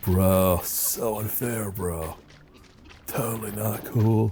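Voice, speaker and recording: Using a put-on character voice, a man speaks at a fairly low pitch. His pace is very slow. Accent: Californian. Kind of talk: casual slang.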